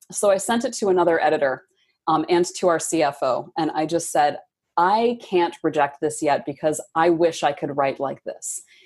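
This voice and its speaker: A woman with an American accent talks at a moderate pace in an unremarkable speaking voice. Her pitch is fairly low, with ordinary variation. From Michigan. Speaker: book editor. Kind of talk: interview.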